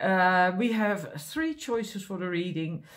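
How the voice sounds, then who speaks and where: In a quiet background, a woman speaks at a moderate pace with lively intonation. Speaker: card reader. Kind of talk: spiritual card reading, casual talk to viewers. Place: home room. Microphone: camera far.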